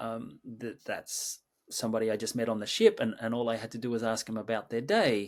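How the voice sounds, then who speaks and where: On a very clean recording with a silent background, a man with an Australian accent talks at a moderate pace. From Australia, Sydney. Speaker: creative director and mindfulness teacher. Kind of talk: interview conversation. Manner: halting, many repetitions and fillers.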